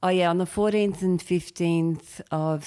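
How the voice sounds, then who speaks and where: On a very clean recording with a silent background, a dark, mellow voice with an Australian accent speaks at a moderate pace. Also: woman. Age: 40s. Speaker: comedian. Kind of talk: casual chat.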